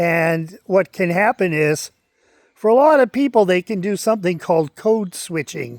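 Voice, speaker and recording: At a moderate pace and with ordinary pitch variation, a man speaks in a dry, close recording with no echo. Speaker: retired registered nurse. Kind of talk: casual talk to camera.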